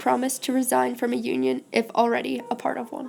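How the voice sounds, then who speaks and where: A woman's high voice at a fairly quick pace, fairly even in intonation, with noticeable background noise. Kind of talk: mock government infomercial.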